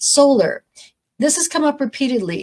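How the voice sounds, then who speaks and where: A woman speaks with ordinary pitch variation. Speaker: county commissioner. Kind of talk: formal presentation of legislative priorities. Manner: fast.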